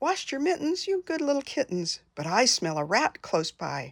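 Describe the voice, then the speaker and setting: Moderate is the pace here. It comes in a put-on character voice. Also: woman, high pitch for a woman. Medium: read story.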